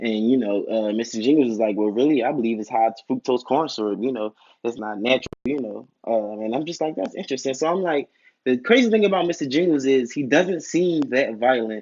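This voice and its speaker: A man speaks in a normal speaking voice with an American accent. His pitch is medium and his pace fairly quick. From Philadelphia, US. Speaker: YouTube TV reviewer. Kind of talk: casual video review monologue. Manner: rambling with many fillers.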